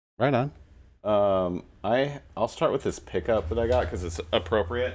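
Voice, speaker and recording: In a very clean recording with a silent background, a man with a fairly low pitch speaks at a fairly slow pace with lively intonation. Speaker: podcast host. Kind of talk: casual chat. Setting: live stream panel podcast. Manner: loud.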